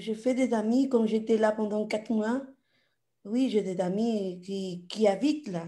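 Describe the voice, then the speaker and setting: A woman's somewhat breathy, dark, mellow voice at a fairly high pitch, in a strong Latin American accent, at a very slow pace with ordinary pitch variation. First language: Spanish (speaking French). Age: 30s. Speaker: audience participant. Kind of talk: casual Q&A. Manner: halting.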